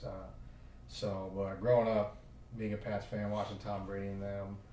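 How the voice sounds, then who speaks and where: A man with an American accent talks fairly quickly at a fairly low pitch. There is audible room echo and noticeable background noise. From Oklahoma. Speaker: football coach. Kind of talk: podcast interview. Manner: hesitant, many fillers.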